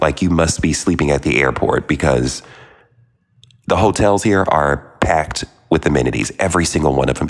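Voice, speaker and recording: The speaker's tone is animated. Noticeable background noise is present. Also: man. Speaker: podcast host. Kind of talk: casual monologue. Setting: remote recording while traveling. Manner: fast.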